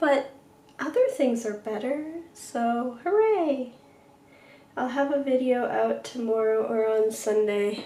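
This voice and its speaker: Over noticeable background noise and audible room echo, a woman with a high pitch speaks at a very slow pace with long, frequent pauses. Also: ordinary pitch variation. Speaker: science artist livestreamer. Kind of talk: casual livestream chat.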